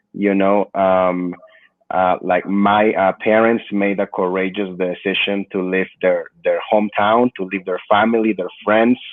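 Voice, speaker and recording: In a Peruvian accent, a man talks at a fairly slow pace with a fairly low pitch. His intonation is monotone and flat. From Peru, then Perth Amboy, New Jersey. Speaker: immigrant rights activist. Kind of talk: podcast interview. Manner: many fillers (uh, you know).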